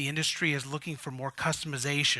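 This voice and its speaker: Bright and sharp in tone, a man speaks in a fairly high pitch with fairly even intonation. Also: quiet background. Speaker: conference speaker. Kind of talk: conference presentation. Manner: loud; slow.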